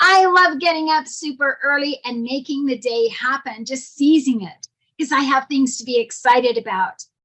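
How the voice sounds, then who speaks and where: The voice has a bright, sharp tone with ordinary pitch variation. It moves at a moderate pace. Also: woman, high pitch for a woman. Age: 60s. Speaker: motivational speaker. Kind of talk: prepared speech.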